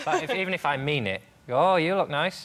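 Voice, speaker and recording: Lively in intonation, a man with a fairly high pitch speaks at a very fast pace. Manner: dry, sarcastic-sounding.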